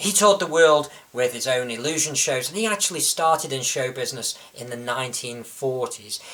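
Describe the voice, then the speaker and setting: Over noticeable background noise, a man speaks at a fairly quick pace with hardly any pauses. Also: fairly high pitch for a man. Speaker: illusionist. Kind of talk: introduction to camera.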